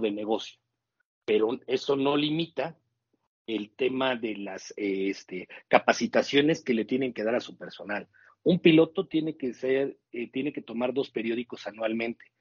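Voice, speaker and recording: With a normal speaking voice, this man keeps a medium pitch, a moderate pace, and ordinary pitch variation. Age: 40s. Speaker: airline pilot. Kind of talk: interview.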